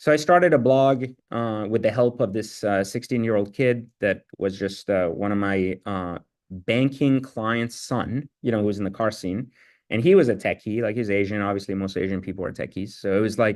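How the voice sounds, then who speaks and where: Speaking at a moderate pace against a quiet background, a man uses a fairly low pitch with ordinary pitch variation. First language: not English. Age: 40s. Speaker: entrepreneur. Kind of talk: interview. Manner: casual, filler-heavy.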